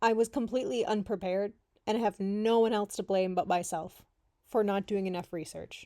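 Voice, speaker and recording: In a Canadian accent, a woman talks at a fairly quick pace with a medium pitch and an animated tone. The recording is very clean, with a silent background. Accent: Canadian, noticed by locals. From Canada. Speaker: travel vlogger. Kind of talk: travel vlog, casual talk to camera.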